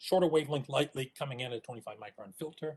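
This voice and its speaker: A man talking at a very fast pace. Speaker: astronomer. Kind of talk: technical talk.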